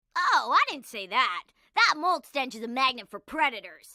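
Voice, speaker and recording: At a moderate pace, a female-sounding, cartoonish character voice speaks at a high pitch. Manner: upbeat, casual.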